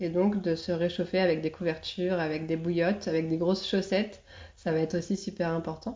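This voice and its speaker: A fairly quick, monotone woman's voice, fairly low in pitch, flat in intonation and very even in loudness. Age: 30s. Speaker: doula. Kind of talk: interview monologue. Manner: hesitant with fillers.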